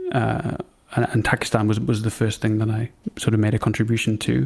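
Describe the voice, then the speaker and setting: This man's voice sits at a fairly low pitch. He talks at a fairly quick pace. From Newcastle, northern England. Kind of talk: casual interview.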